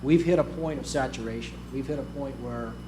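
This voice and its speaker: The pace is moderate. Room echo is audible. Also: man. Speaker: aerial firefighting officer. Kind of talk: conference presentation.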